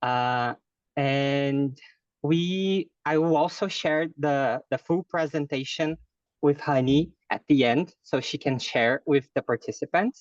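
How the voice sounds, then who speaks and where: In a dry, close recording with no echo, a man with a Brazilian Portuguese accent talks at a very slow pace and a fairly high pitch. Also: ordinary pitch variation. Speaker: fundraising specialist. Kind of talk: online lecture. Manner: hesitant, many fillers.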